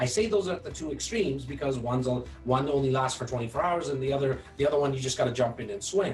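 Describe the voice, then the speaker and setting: Very fast, almost pause-free speech from a man at medium pitch with ordinary pitch variation, audible room echo and music in the background. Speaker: video content creator. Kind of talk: interview chat.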